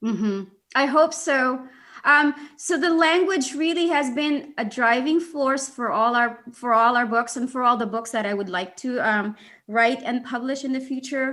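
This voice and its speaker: A woman with a Philippine accent speaks at a moderate pace in a high, bright, sharp voice with ordinary pitch variation. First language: Bisaya. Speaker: children's author and activist. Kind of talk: interview conversation. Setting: video call. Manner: halting, many fillers.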